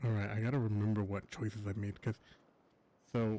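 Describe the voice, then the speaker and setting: Soft-spoken and fairly low, the man's voice has a dark, mellow tone. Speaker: gaming streamer. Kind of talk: gameplay commentary. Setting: at home at night. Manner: halting.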